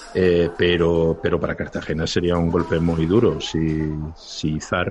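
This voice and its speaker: Over noticeable background noise, a man speaks at a very deep, low pitch in a monotone, flat delivery. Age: 50s. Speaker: lawyer. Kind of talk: casual chat.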